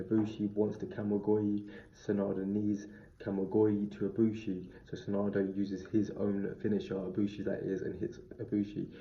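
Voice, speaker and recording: A man speaks in a somewhat breathy voice with a flat, monotone delivery. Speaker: wrestling reviewer. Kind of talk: review monologue. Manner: fast.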